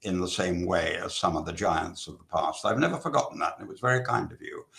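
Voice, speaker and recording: A man speaks with a British accent. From England. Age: 80s+. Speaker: novelist. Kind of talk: interview. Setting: literary festival talk.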